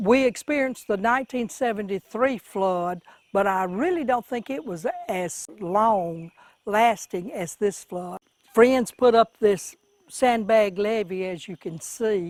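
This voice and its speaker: The speaker has a Mississippi accent and talks at a very slow pace. The sound is dry and close, without any echo. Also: woman. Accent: US Southern (Mississippi). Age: 70s. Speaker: flood-affected resident. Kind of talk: news interview.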